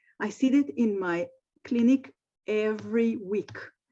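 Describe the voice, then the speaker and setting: Against a quiet background, a woman speaks at a fairly slow pace in a somewhat breathy, dark, mellow tone, her fairly high pitch showing ordinary variation. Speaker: speech-language clinician. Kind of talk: webinar presentation. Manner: halting.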